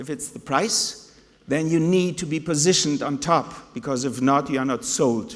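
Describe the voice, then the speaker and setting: A man with a German accent, fairly high pitch and lively intonation at a moderate pace, amid noticeable background noise. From Germany (Hannover), Spanish mother. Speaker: conference speaker, tourism/hotel professional. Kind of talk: conference talk.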